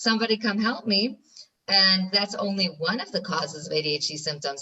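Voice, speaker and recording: A woman speaks with an American accent at a fairly quick pace. Her tone is bright and sharp. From New York, US. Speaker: ADHD specialist. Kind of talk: interview.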